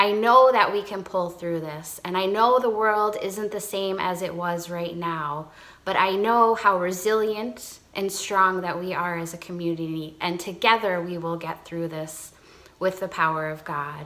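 This woman speaks at a fairly slow pace with ordinary pitch variation. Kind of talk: devotional talk to congregation. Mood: warm, encouraging. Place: home room. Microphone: phone near.

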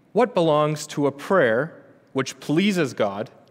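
Very slow pace from a male speaker. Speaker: theology student preaching. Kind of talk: sermon, reading catechism aloud. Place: church. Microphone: podium.

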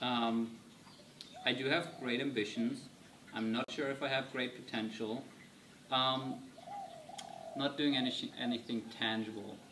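Noticeable background noise sits behind a man speaking at a fairly slow pace with long, frequent pauses. His loudness is very even and his intonation fairly even. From Germany. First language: German. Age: 20s. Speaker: vlogger. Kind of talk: casual vlog Q&A. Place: garden.

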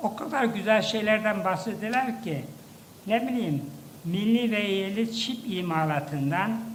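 There is noticeable background noise as a man speaks at a very slow pace. His pitch is high, with ordinary variation. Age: 80s+. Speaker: professor, former science agency head. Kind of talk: ceremonial speech.

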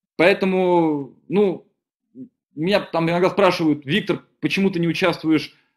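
Against a quiet background, a man speaks at a high pitch. His pace is moderate and his intonation fairly even. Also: long, frequent pauses. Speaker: deputy director of an engineering company; webinar presenter. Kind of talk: webinar presentation. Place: home room. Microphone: webcam.

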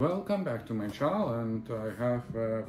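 A man talks at a moderate pace, with audible room echo and clear music playing in the background. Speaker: vlogger. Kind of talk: casual vlog chat. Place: home room. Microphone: phone near.

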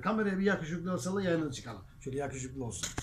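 A man talks in a somewhat breathy voice with lively intonation. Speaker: local web TV host. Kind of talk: interview chat and broadcast sign-off. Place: shop.

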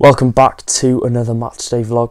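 A man speaking at a moderate pace. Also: quiet background. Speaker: football fan vlogger. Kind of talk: casual vlog chat. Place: home room. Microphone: lapel.

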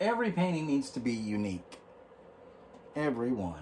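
Very wide pitch swings run through the voice over light background noise. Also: man. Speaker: painting instructor. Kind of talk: tutorial. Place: home room. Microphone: phone near.

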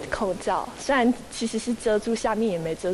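Background noise is noticeable here. A woman's pitch varies in an ordinary way. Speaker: university student, patient. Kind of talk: news interview soundbite. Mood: shy, slightly embarrassed. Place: classroom.

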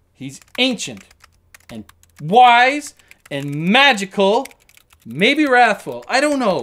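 A put-on character voice leaps between very high and very low pitches. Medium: voice reel. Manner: fussy, neurotic, lecturing, fast.

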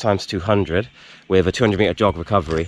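A man talks in a normal speaking voice at a moderate pace with ordinary pitch variation. The sound is dry with no echo. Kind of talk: casual vlog chat. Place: stadium. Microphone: phone near.

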